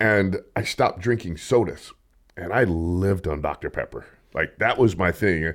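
On a very clean recording with a silent background, a man with an American accent talks in an animated tone at a very deep, low pitch with ordinary pitch variation. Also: moderate pace. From US West. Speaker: podcast host and store owner. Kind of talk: casual chat.

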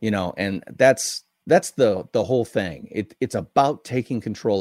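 A man speaks at a moderate pace. The sound is dry and close with no echo, very clean, with a silent background. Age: 60s. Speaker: brand consultant and author. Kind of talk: interview.

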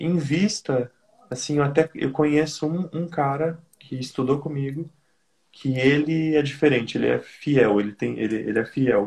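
Speaking at a fairly slow pace, a man sounds somewhat breathy in a fairly high pitch. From Brazil. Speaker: caller seeking business advice. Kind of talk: advice call.

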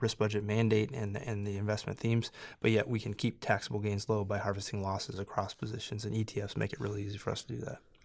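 A man's fairly low-pitched, plain, everyday voice at a fairly quick pace, on a very clean recording with a silent background. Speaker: portfolio manager. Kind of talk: casual chat.

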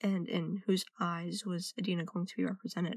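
With an American accent and a medium pitch, a woman speaks at a moderate pace in a somewhat breathy voice, the sound dry and close with no echo. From United States. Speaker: listener sending voice message. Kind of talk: recorded personal testimony.

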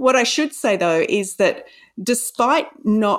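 Speaking at a fairly slow pace, a woman with an Australian accent swings her pitch very widely. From Australia, Sydney. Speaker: novelist. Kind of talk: interview.

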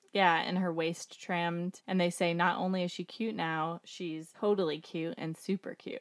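With a plain, everyday voice, a woman speaks at a moderate pace in a fairly low pitch, her intonation fairly even and her speech hardly pausing at all. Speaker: podcast host. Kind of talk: casual chat.

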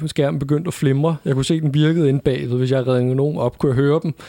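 Recorded with a dry, close sound and no echo, a man talks very fast at a medium pitch in a dark, mellow tone. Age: 20s. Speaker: podcast co-host, advertising agency founder. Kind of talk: casual chat. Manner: halting.

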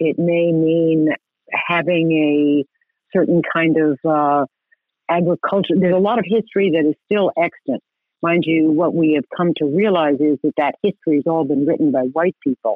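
A woman with an American accent has a plain, everyday voice, fairly low in pitch. Her intonation is fairly even, her loudness very even, and her pace moderate. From New York City. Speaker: landscape architect. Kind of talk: interview.

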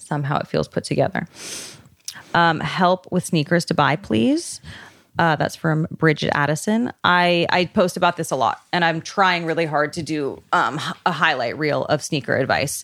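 This woman has an unremarkable speaking voice, with a moderate pace and ordinary pitch variation. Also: fairly low pitch for a woman. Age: 30s. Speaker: stylist. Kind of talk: casual chat.

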